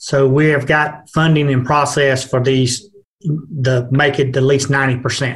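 In an American accent, a man speaks at a moderate pace with a fairly high pitch, a somewhat breathy quality, monotone, flat intonation and very even loudness. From Georgia, US. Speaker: broadband program manager. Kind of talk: casual chat.

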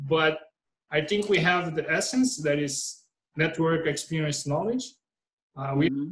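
This man talks fairly slowly with a Portuguese accent, leaving long, frequent pauses. His pitch is fairly high, with ordinary pitch variation. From Brazil. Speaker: startup co-founder. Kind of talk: casual interview.

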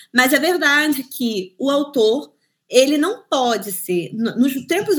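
The woman's voice sits high in pitch. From Brazil, Cabo Frio, Rio de Janeiro state. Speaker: book publisher. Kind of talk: interview.

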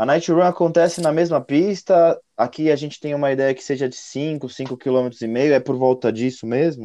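Against a quiet background, a man with a dark, mellow tone speaks at a fairly high pitch and a moderate pace, with ordinary pitch variation. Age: 30s. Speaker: communications director at a mountain bike event. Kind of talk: casual chat.

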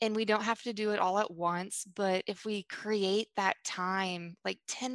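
A plain, everyday voice moves at a fairly slow pace with fairly even intonation, the sound dry and close with no echo. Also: woman. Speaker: photographer and author. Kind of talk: casual interview chat.

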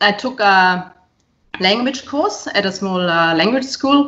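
A woman speaks with a German accent at a medium pitch and a moderate pace. Her intonation is lively. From Bavaria, Germany. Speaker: professor. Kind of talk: casual interview chat. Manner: hesitant, filler-heavy.

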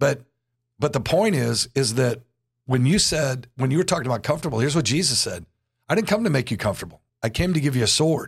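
Talking at a very fast pace, a man with a fairly high pitch uses lively intonation, sounding somewhat breathy with very even loudness. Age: 60s. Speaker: church pastor and podcast host. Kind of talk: casual interview.

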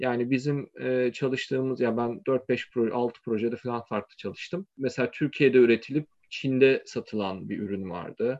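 A man talks at medium pitch with fairly even intonation. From Turkey, Izmir. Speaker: tech startup founder. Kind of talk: interview. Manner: hesitant, with fillers.

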